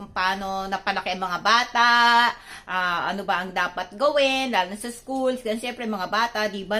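A bright, sharp tone with lively intonation. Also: woman. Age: 60s. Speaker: vlogger. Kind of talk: cooking tutorial. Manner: halting.

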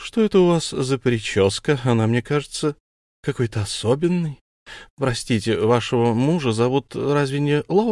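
Over quiet surroundings, the text is read aloud in a natural voice.

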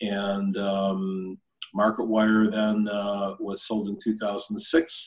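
Over a quiet background, a man with an American accent talks at a very slow pace, his fairly low voice holding fairly even intonation. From upstate New York (Buffalo); New York. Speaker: blockchain investor and CEO; interviewee. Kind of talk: interview. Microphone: video call.

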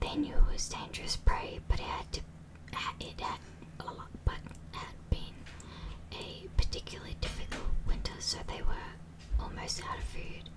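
Someone whispers, leaving long, frequent pauses. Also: woman, moderate pace. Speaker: ASMR creator. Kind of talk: ASMR whispered story reading. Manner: whispered. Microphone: studio mic.

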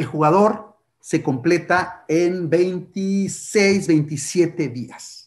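Over a quiet background, a man speaks very slowly at a high pitch with ordinary pitch variation. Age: 50s. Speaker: writer and literature lecturer; literature lecturer. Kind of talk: lecture. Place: home room. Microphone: webcam.

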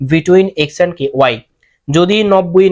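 A man talks with ordinary pitch variation at a high pitch. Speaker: teacher. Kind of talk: lecture. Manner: casual.

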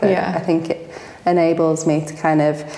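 Audible room echo surrounds a woman whose voice is pitched fairly low. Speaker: interviewee. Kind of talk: interview answer. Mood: relaxed, reflective, some laughs. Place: home room.

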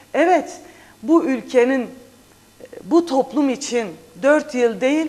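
Very slow and high-pitched, a woman's voice swings very widely in pitch. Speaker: parliamentary candidate and journalist. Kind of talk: TV interview. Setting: studio. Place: studio. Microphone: lapel.

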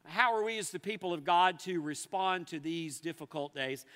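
The background stays quiet. This man's tone is bright and sharp. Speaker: pastor. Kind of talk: sermon. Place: church.

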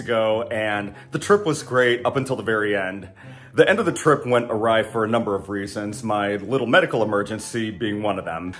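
Fairly quick pace from a man. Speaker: flight attendant vlogger. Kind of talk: casual vlog chat. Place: kitchen. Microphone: phone near.

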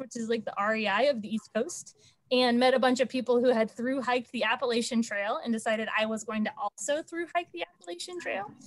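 Against a quiet background, a woman with an American accent speaks at a high pitch with a dry sound with no echo. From Texas (Dallas area); Texas. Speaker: state transportation program manager. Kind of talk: online committee meeting. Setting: video call. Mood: friendly, animated. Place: home room. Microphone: video call.

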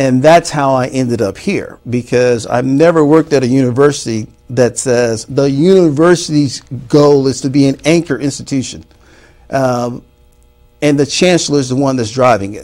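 With a Mississippi accent, a man talks at a moderate pace and ordinary pitch variation while music plays in the background. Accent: Southern US (Mississippi). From US South, Mississippi Delta. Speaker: university dean. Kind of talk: interview. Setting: studio. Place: studio. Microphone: lapel.

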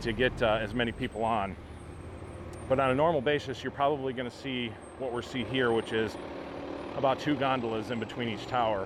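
Fairly quick, fairly even speech, dry with no echo, against noticeable background noise. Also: man. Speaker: theme park vlogger. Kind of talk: casual vlog commentary. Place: street. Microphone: phone near.

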